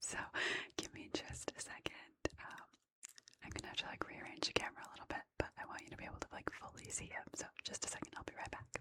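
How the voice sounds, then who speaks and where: A woman whispers at a very fast pace, her loudness swinging widely. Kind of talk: casual ASMR storytime to camera. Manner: soft-spoken; relaxed, casual.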